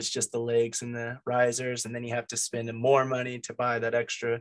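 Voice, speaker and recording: With a quiet background, a man talks at a moderate pace. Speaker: meeting host presenting gear. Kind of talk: informal lecture. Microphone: video call.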